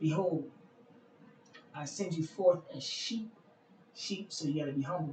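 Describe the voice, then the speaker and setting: With noticeable background noise around him, a man speaks at a fairly slow pace, his high pitch showing ordinary variation. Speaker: bible teacher. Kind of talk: scripture reading with commentary. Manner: halting.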